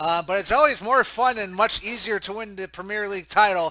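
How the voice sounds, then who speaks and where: A man with an American accent speaks in a raised, projected voice at a fairly quick pace. His pitch is high, with a bright, sharp tone. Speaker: sports commentator. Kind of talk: live commentary.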